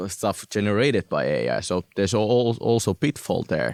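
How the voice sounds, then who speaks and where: With a Finnish accent and lively intonation, the voice sounds dry and close, with no echo. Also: man. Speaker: recruiter. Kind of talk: interview. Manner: halting.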